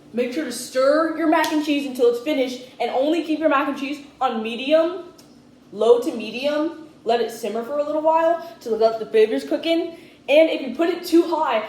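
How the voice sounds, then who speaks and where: A woman talks loudly at a fairly quick pace with ordinary pitch variation. Room echo can be heard. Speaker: cooking youtuber. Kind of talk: casual cooking tutorial.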